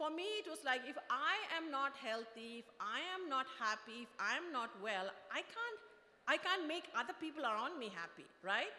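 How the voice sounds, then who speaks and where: A woman's raised, projected voice, high in pitch with very wide pitch swings, over noticeable background noise. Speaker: product manager, invited speaker. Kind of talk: motivational talk. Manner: fast; halting, many fillers.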